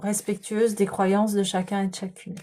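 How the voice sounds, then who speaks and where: A woman's voice at a medium pitch. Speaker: tarot and energy reader. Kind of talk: spiritual guidance reading. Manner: soft-spoken, slow; hesitant, many fillers.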